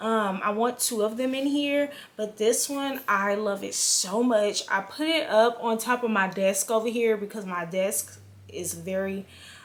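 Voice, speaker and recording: Someone with an American accent speaks in an animated tone at a fairly slow pace. The intonation is lively, and there is noticeable background noise. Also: woman. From California. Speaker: book vlogger. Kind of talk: casual vlog. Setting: home, filming on camera. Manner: loud, projected.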